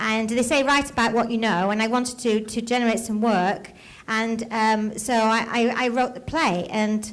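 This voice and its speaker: A woman speaks at a fairly high pitch, at a moderate pace, with very even loudness. Her intonation is fairly even, and there is audible room echo. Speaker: playwright. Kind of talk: Q&A answer to audience. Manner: halting, repeats words.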